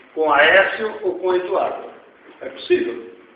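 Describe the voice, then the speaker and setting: A man speaks over noticeable background noise. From Rio Grande do Sul, Brazil. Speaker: economist and social activist. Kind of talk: lecture Q&A answer. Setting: university auditorium. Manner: informal, blunt.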